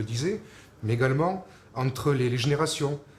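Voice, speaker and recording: A somewhat breathy, medium-pitched man's voice in a southern French accent, fairly quick, with ordinary pitch variation. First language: Occitan (speaking French). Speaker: Occitan culture advocate. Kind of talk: personal testimony to camera. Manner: halting, many hesitations.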